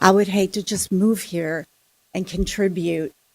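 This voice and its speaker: Her voice is a plain, everyday voice, with fairly even intonation. The woman moves at a fairly slow pace. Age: 60s. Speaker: resident speaking at public comment. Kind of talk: public comment at city council meeting. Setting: city council chamber.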